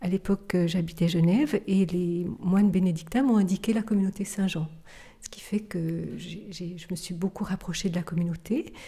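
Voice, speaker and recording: Her loudness swinging widely, a woman keeps a moderate pace and fairly even intonation. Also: medium pitch for a woman. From Switzerland, Geneva. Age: 50s. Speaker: contemplative nun. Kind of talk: testimony interview. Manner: halting, many hesitations.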